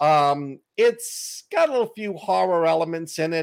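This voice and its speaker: A man with a Boston accent and fairly high pitch, at a very slow pace, on a very clean recording with a silent background. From Boston, US. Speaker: author and podcaster. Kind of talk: casual chat.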